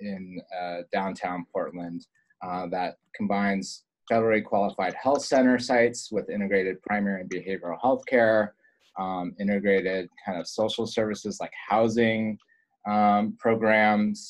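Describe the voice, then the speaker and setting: Speaking with fairly even intonation, a plain, everyday voice keeps a moderate pace. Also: man, fairly low pitch for a man. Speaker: presenter. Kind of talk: webinar presentation. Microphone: video call.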